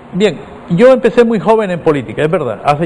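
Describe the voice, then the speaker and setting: A man talking at a very fast pace with lively intonation, over noticeable background noise. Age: 60s. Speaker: politician. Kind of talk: interview.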